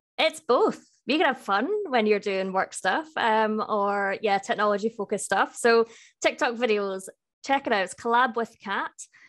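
Someone with a Scottish accent speaks against a quiet background. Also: woman, fairly high pitch for a woman, ordinary pitch variation, moderate pace. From Scotland, Edinburgh. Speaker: IT solutions specialist. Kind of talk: interview.

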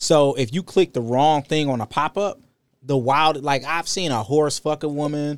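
In an animated tone, a man with a fairly high pitch and ordinary pitch variation speaks at a moderate pace, on a very clean recording with a silent background and a dry, close sound with no echo. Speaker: podcast host. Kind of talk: casual chat, comedic, profane. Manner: animated, joking.

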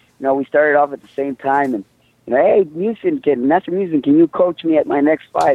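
An American-accented man talks very fast in a fairly high voice with a dark, mellow tone. His loudness swings widely, and the sound is dry and close with no echo. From Mexico, raised in the US. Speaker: mixed martial arts fighter. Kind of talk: interview.

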